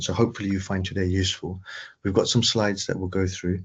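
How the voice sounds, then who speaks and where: Against a quiet background, a man talks fairly quickly in a very deep, low pitch with monotone, flat intonation. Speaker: AI trainer for patient organisations. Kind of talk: webinar presentation. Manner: fast.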